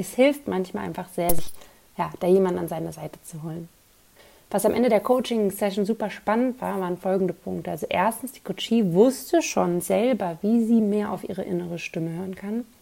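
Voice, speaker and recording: A woman talks at a fairly quick pace with a medium pitch and ordinary pitch variation. Her tone is dark and mellow, with big swings in loudness. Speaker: podcast host and mindset coach. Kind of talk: solo podcast monologue.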